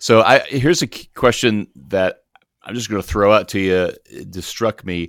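A man with a plain, everyday voice and fairly low pitch speaks with ordinary pitch variation and big swings in loudness, in a very clean recording with a silent background and a dry, close sound with no echo. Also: moderate pace. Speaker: podcast host and ministry professor. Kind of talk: casual interview chat.

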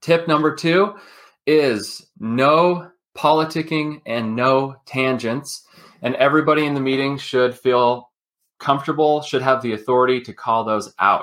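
A man with an American accent speaks at a fairly slow pace in a fairly high pitch, with ordinary pitch variation and an unremarkable speaking voice. The recording is very clean, with a silent background. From Utah. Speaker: business consultant. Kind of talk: interview.

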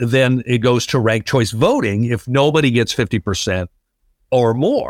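Dry and close with no echo, a man's medium-pitched voice, a plain, everyday voice, moves at a moderate pace. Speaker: political analyst. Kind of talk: interview. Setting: remote call.

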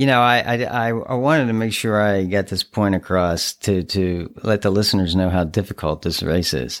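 A man with an ordinary speaking voice talks at a moderate pace with hardly any pauses. His pitch is fairly low, with ordinary variation. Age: 60s. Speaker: podcast host and ultra runner. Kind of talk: casual interview.

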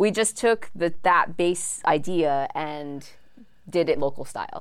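A woman's fairly low voice with a Hawaiian accent and ordinary pitch variation. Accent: Hawaii local English. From Hawaii, windward Oahu (Kaneohe). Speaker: card game creator. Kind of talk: interview. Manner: casual, many fillers.

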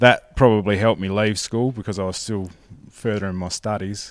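A man with an Australian accent speaks at a fairly quick pace in a fairly low voice with fairly even intonation, on a very clean recording with a silent background. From South Australia, mid north. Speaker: sheep farmer. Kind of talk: interview. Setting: shearing shed.

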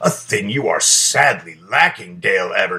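A man uses a put-on character voice. He speaks at a moderate pace. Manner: jolly, hearty, grandiose.

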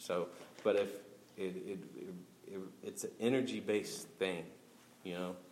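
An American-accented man talks at a fairly slow pace with long, frequent pauses. His loudness swings widely, and the room echo is audible. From Oklahoma City, Oklahoma. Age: 30s. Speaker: stand-up comedian. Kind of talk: casual interview. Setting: live event with audience.

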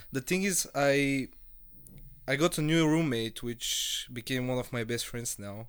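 An unremarkable speaking voice from a man, medium in pitch with ordinary pitch variation and a fairly slow pace, on a very clean recording with a silent background. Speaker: university student. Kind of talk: casual chat.

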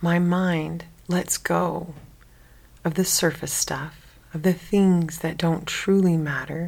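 The tone is calm and the intonation monotone and flat. A woman with a fairly low voice speaks at a very slow pace. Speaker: meditation guide. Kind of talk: guided sleep meditation. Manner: slow, calm, soft-spoken.

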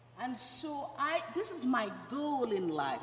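A woman speaks in a Guyanese accent. Noticeable background noise and audible room echo accompany her. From Guyana. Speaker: church member. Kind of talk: testimony. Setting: church.

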